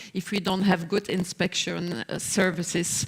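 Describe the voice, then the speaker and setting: Noticeable background noise surrounds a woman speaking. She talks fairly slowly at a fairly low pitch. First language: not English. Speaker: social partner representative. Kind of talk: panel discussion. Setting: stage with audience. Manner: halting, many fillers.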